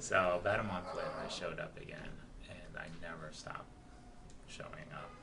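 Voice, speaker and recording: Soft-spoken at a moderate pace, the voice comes with long, frequent pauses over noticeable background noise. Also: man. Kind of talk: interview answer, personal faith testimony.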